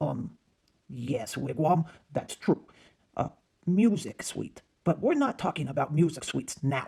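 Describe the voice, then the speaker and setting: A cartoonish character voice at a middle pitch speaks in a calm tone at a moderate pace, with long, frequent pauses. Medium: puppet show. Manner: calm, patient.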